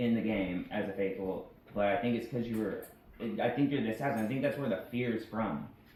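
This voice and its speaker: With noticeable background noise and audible room echo, a man talks at a fairly quick pace. His pitch is medium, with ordinary variation. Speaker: reality game show contestant. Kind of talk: heated debate. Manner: loud.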